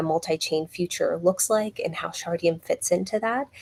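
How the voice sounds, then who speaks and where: A woman speaks with a fairly low pitch over noticeable background noise. The sound is dry and close, with no echo. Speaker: company executive. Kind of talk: business update presentation.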